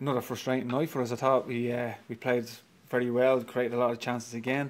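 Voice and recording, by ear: At a fairly quick pace, a man talks with little pitch movement. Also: medium pitch for a man.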